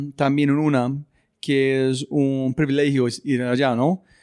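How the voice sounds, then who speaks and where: Very slowly, a speaker with an English accent talks in a dry, close recording with no echo, very clean and set against a silent background. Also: man. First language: English (speaking Spanish). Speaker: podcast host. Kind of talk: interview.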